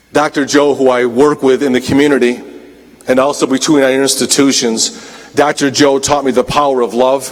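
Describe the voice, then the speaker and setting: A man speaks at a moderate pace with medium pitch and monotone, flat intonation. There is noticeable background noise. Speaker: college dean and commencement speaker. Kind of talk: convocation speech. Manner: formal.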